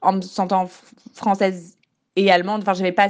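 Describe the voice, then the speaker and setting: A woman is talking, her pitch in the medium range. Nothing much is heard behind her. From central France, Bourges. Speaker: student. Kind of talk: testimony. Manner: halting, many repetitions.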